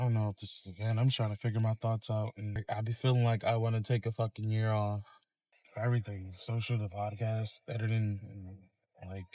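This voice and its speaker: A man's medium-pitched, somewhat breathy voice, fairly quick and monotone, on a very clean recording with a silent background. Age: young. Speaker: podcaster and vlogger. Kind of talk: casual monologue vlog. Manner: halting, stuttering.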